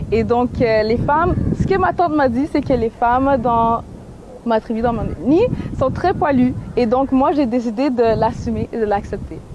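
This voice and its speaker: The delivery has lively intonation at a fairly slow pace. Loudness stays very even over noticeable background noise. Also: woman, high pitch for a woman. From Quebec, Montreal. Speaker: activist and painter. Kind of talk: interview.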